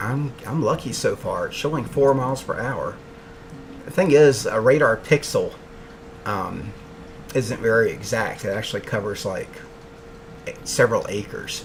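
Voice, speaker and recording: Noticeable background noise accompanies a man with an American accent who speaks at a moderate pace, leaving long, frequent pauses. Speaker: meteorologist. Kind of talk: live weather coverage. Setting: home office. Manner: quiet.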